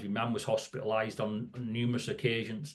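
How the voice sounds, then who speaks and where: In a northern English accent, a man speaks with flat, monotone intonation. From northern England, near Scottish border. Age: 60s. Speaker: safety educator. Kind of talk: podcast interview. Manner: halting, repeats words.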